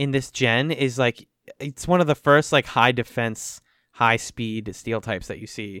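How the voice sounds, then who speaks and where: A man's ordinary speaking voice at a medium pitch and fairly slow pace, in a very clean recording with a silent background and a dry, close sound with no echo. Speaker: podcast host. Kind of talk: casual banter.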